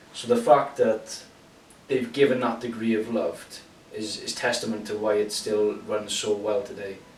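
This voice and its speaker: A man's medium-pitched, flat monotone amid noticeable background noise. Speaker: long-time gamer. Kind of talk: unscripted casual talk to camera. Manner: slow.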